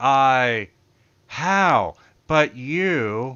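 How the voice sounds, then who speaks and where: A man puts on a character voice. His pitch sits at medium. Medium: actual play. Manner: threatening.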